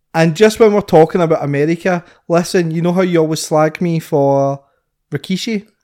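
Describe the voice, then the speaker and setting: Recorded very cleanly against a silent background, a man with a Scottish accent speaks at a fairly quick pace and high pitch, keeping his intonation fairly even. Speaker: podcast co-host. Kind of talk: casual chat.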